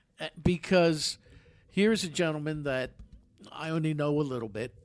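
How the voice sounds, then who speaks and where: Music plays in the background as a man with a fairly high pitch talks at a moderate pace with ordinary pitch variation. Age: 60s. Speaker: radio host. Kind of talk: casual chat. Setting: studio.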